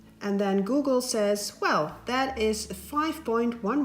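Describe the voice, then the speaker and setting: Speaking at a fairly slow pace in a Dutch accent, the voice has lively intonation. There is noticeable background noise. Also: woman. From Netherlands. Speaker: paper craft tutorial maker. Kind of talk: tutorial.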